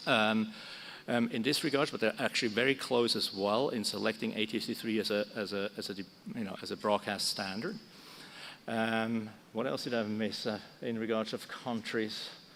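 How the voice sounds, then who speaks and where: With a Swiss German accent, a man speaks at a moderate pace in a medium pitch, his intonation fairly even. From Switzerland. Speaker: broadcast technology expert. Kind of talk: conference panel talk. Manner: halting, many fillers.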